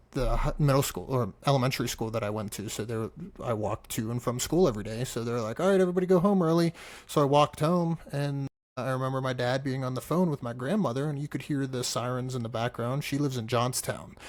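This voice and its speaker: A man talks very fast in an American accent. His pitch is medium, with ordinary variation. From Pittsburgh, Pennsylvania. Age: 30s. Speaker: firefighter paramedic. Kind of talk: interview.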